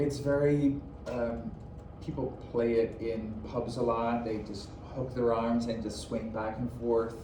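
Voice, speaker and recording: Man with a Dutch accent, medium pitch, monotone, flat intonation and a fairly slow pace, noticeable background noise and audible room echo. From Netherlands. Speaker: dance teacher. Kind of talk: interview. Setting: classroom.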